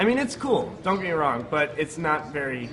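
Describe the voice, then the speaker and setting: Audible room echo and music in the background surround a man speaking at a moderate pace. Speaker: speedrunner. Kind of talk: live commentary. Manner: halting, stutters over words.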